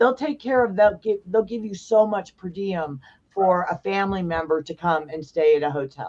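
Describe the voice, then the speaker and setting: A plain, everyday voice from a woman, medium-pitched, at a moderate pace with lively intonation. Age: 60s. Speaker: founder of a biker safety nonprofit. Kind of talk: podcast interview.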